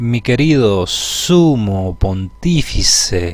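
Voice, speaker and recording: A man puts on a shrill, hissing character voice at a medium pitch, swinging very widely in pitch at a very slow pace over light background noise. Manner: sarcastic, drawn-out.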